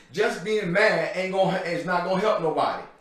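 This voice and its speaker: A loud, high-pitched man's voice comes through noticeable background noise and audible room echo. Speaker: guest speaker for mentoring program. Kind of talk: motivational talk. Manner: loud, pumped up.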